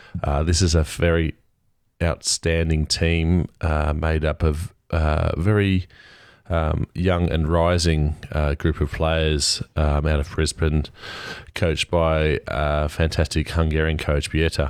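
In an Australian accent, a man speaks very slowly with a very deep, low pitch, a flat, monotone intonation and very even loudness. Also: very clean recording, silent background. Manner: hesitant, many filler words.

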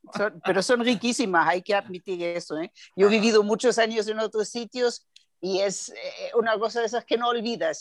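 A woman speaks at a moderate pace in a German accent. The sound is dry and close, with no echo. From Germany, Bavaria (Nuremberg). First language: German (speaking Spanish). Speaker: translator and export business consultant. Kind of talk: casual interview.

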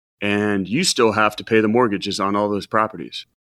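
A man's medium-pitched voice, bright and sharp in tone, at a fairly quick pace, on a very clean recording with a silent background. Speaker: financial advisor. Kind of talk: casual chat.

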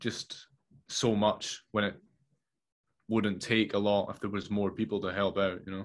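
This man has a fairly low pitch and speaks in a Scottish accent. He talks at a fairly slow pace with long, frequent pauses and a monotone, flat intonation. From Scotland. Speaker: filmmaker. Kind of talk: casual chat. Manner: halting.

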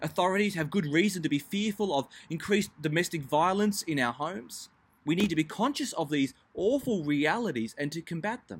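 A man with an Australian accent, high in pitch, with lively intonation at a fairly quick pace. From Melbourne, Australia. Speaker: pastor. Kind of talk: devotional talk.

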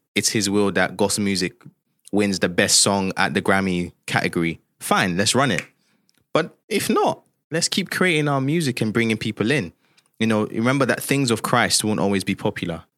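With an ordinary speaking voice, a man talks at a fairly low pitch and a moderate pace, with lively intonation and very even loudness, in a very clean recording with a silent background. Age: 20s. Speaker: gospel musician. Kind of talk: interview conversation.

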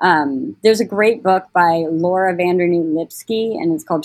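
A woman with an American accent has a normal speaking voice, fairly low in pitch. She talks at a fairly slow pace with fairly even intonation. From Portland, Oregon, US. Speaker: school mental health therapist. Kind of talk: casual interview.

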